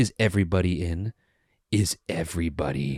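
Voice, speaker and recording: The speaker uses a put-on character voice at a moderate pace. The sound is dry and close with no echo. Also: man, very deep, low pitch for a man. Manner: goofy, announcing.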